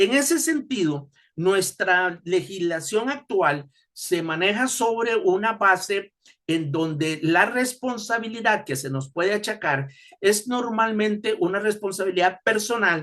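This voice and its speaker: With a bright, sharp tone and a high pitch, a man talks at a fairly slow pace using lively intonation. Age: 60s. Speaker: tax expert and professor. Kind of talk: webinar lecture. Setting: online webinar. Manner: halting, frequent fillers.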